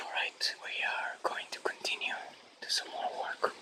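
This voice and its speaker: A man whispers at a fairly slow pace. Noticeable background noise sits behind him. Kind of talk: casual talk to camera. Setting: outdoors. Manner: whispered.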